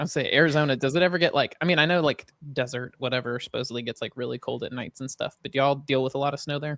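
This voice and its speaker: A man with a Southern US accent at a fairly high pitch, very fast with hardly any pauses, fairly even intonation, and a dry, close sound with no echo. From Alabama, Huntsville. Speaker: podcast co-host. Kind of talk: casual chat.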